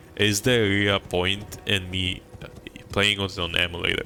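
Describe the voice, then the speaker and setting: Against noticeable background noise, a man mumbles at a fairly slow pace. His intonation is fairly even. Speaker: gaming streamer. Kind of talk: live stream commentary. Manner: mumbling; halting.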